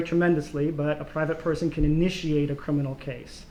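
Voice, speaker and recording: A man with a Mid-Atlantic accent at a fairly high pitch, very fast pace and fairly even intonation. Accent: American, Mid-Atlantic. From US, Baltimore. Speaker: political science professor. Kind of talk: academic Q&A answers.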